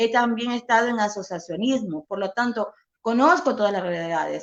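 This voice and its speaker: Her tone is animated and her intonation lively. The woman speaks at a moderate pace with a fairly high pitch. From coastal Ecuador (Milagro, Guayas). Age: 50s. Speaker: political candidate. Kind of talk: interview. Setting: live online interview.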